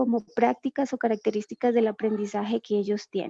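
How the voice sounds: A woman speaks with a fairly high pitch and a dark, mellow tone, with vocal fry and ordinary pitch variation, in a dry, close sound that has no echo.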